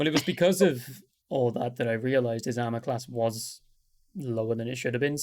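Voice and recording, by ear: A quiet background, with reading aloud in a natural voice and ordinary pitch variation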